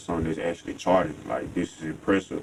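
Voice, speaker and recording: A man with an American accent and fairly even intonation, over noticeable background noise. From Tennessee, Fayette County. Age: 20s. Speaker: rap artist. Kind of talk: interview.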